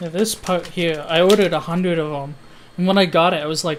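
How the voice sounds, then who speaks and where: This man's voice sits high in pitch, and his intonation is fairly even. He speaks at a moderate pace. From Canada. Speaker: electronics hobbyist streamer. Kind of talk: casual live stream chat. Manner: hesitant, many fillers.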